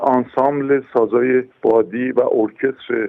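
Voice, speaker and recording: This man talks fairly slowly. His voice sits at a medium pitch. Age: 60s. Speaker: horn player and orchestra conductor. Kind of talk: interview. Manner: halting.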